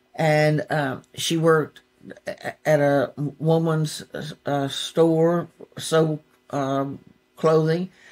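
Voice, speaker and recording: A woman speaks in a Southern US accent with a very deep, low pitch. Her intonation is monotone and flat. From Gulfport, Mississippi. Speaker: poet laureate, songwriter. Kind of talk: interview answer. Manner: casual storytelling.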